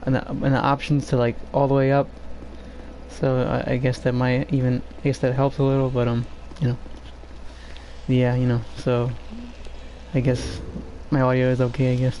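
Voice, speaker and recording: With noticeable background noise behind him, a man talks at a moderate pace in a medium pitch, his monotone, flat delivery very even in loudness and broken by long, frequent pauses. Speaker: game streamer. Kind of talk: live gameplay commentary. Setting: live stream. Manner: halting. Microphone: quiet microphone turned up.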